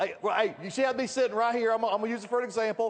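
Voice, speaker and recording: Over noticeable background noise, a man with a Southern US accent talks loudly at an extremely high pitch. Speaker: network marketing leader. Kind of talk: motivational speech. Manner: animated.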